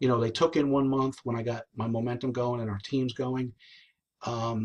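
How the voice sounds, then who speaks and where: Somewhat breathy, the speaker talks at a fairly quick pace with a New Jersey accent. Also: man. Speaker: network marketing team leader. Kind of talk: live stream talk. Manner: fast; animated.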